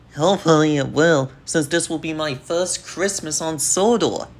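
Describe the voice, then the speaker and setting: Someone puts on a character voice at a middle pitch. The pace is moderate. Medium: audio drama. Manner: eager.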